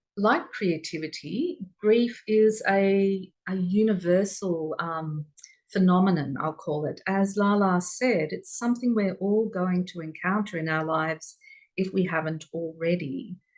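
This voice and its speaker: At a fairly slow pace, a woman with an Australian accent speaks in a calm tone, with medium pitch and ordinary pitch variation. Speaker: workshop presenter. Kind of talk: online workshop talk. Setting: video call.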